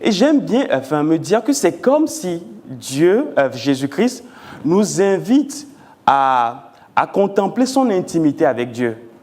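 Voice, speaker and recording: A man's high-pitched voice at a very slow pace, with very wide pitch swings. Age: 40s. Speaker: pastor. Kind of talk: sermon. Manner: deliberate, measured pace; halting, repeats words.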